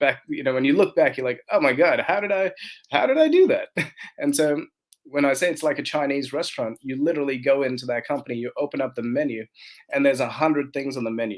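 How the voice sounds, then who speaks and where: A man with an Australian accent talks at a very fast pace. His fairly high pitch stays in fairly even intonation. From Australia, migrated from India at 10. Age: 40s. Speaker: entrepreneur. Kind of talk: podcast interview.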